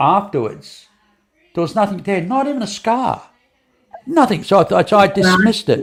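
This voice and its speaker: This is a man speaking. His pace is moderate. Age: 70s. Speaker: podcast host. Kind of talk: casual chat. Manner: halting, many repeated words.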